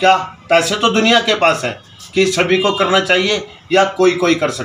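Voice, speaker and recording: Against music in the background, a man projects a raised voice, high in pitch, with fairly even intonation. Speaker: interviewer. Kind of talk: interview question.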